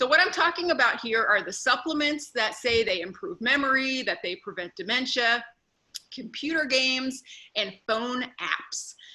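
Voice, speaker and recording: A woman with a Northeastern US accent speaks in a raised, projected voice at a high pitch and moderate pace, her intonation lively. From US Northeast. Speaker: neuropsychologist. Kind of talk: conference talk.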